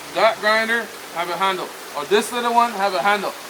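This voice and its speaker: Against noticeable background noise, a man talks with a high pitch and fairly even intonation. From Belize, Mopan Maya community. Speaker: tour guide. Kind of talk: live demonstration.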